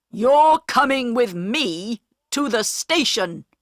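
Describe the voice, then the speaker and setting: A female-sounding voice in a put-on character voice growls at a high pitch and a very slow pace. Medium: read story. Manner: stern, gruff.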